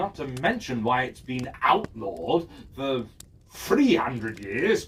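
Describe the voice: Slow and medium-pitched, a man's put-on character voice has a fairly bright tone, a husky, rough edge and big pitch swings.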